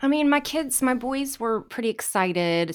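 A woman speaks with lively intonation. She has an ordinary speaking voice. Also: very clean recording, silent background. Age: 40s. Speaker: home organizer. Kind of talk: casual chat. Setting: studio.

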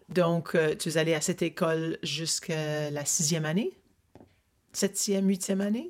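A woman speaks in an ordinary speaking voice, fairly low in pitch. Her pace is moderate and her intonation fairly even. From Ottawa, Ontario. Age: 60s. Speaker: interviewer of her father. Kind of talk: family interview. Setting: family cottage.

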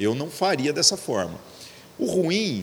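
Over noticeable background noise, a man speaks at a fairly slow pace with very wide pitch swings. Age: 40s. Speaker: pastor. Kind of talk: casual chat. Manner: slangy, informal.

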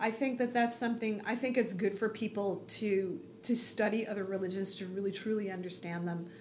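With an American accent, the speaker talks at a fairly quick pace with fairly even intonation. Noticeable background noise and audible room echo are present. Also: woman, medium pitch for a woman. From New York (Queens and Long Island). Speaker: blogger and religious community volunteer. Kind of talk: interview conversation. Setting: small room, closet-like space.

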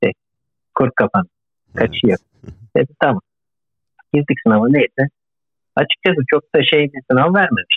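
Speaking at a moderate pace with long, frequent pauses, a man uses lively intonation at a fairly high pitch. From Turkey, Izmir. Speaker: postdoctoral researcher, engineer. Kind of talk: interview.

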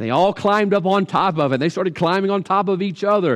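Against a quiet background, a man speaks with a Southern US accent. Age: 40s. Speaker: pastor. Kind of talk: sermon. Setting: livestream.

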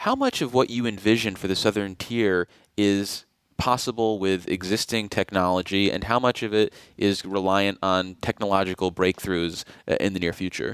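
An ordinary speaking voice at a moderate pace with fairly even intonation, on a very clean recording, silent background, dry and close with no echo. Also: man, fairly low pitch for a man. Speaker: radio host. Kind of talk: interview. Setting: studio.

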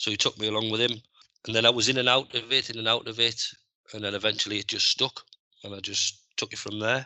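A man with a Teesside accent, talking at a very fast pace in a monotone, flat intonation. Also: medium pitch for a man. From northeast England, Middlesbrough. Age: 40s. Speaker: scaffolding supervisor. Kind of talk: interview.

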